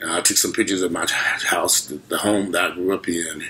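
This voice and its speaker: A man is speaking. His pace is fairly quick. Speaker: vlogger. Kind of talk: casual vlog chat. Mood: disappointed, reflective. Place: home room. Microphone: webcam.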